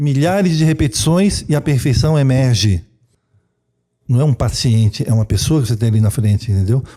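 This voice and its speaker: A man's medium-pitched, somewhat breathy voice with a dark, mellow tone, lively intonation, very even loudness and a fairly quick pace. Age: 60s. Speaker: traditional Chinese medicine practitioner. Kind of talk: interview.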